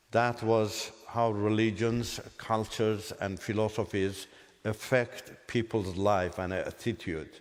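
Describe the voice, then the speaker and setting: A man with an Azerbaijani accent speaks at a very slow pace. His pitch is medium. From Iran. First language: Azerbaijani Turkic. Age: 60s. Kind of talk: testimony. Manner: halting.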